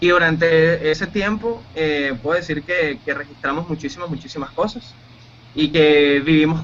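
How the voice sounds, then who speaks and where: A man with a plain, everyday voice talks at a fairly high pitch, his pitch showing ordinary variation. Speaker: radio announcer and producer. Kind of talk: interview answer.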